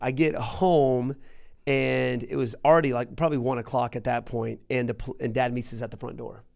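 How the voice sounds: A man talks at a moderate pace and medium pitch. His tone is slightly mellow, with vocal fry. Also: fairly even intonation.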